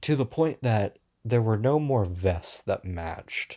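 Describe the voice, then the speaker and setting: A man's dark, mellow, somewhat breathy voice at fairly low pitch, with lively intonation, a very slow pace and a very clean recording with a silent background. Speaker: podcast host. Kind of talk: casual solo podcast rant. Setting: podcast recording.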